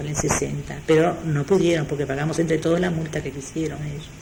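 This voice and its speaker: A woman with a fairly low pitch speaks very fast, with audible room echo and noticeable background noise. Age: 60s. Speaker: retired textile worker and union member. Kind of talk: oral history interview. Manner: halting.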